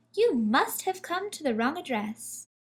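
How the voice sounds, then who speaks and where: A woman puts on a character voice, pitched high with very wide swings, at a moderate pace. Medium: read story. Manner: polite, genteel.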